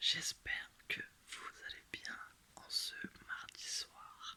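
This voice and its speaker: A man is whispering. His tone is calm. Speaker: ASMR creator. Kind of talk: casual chat to the audience. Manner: soft-spoken, calm, slow.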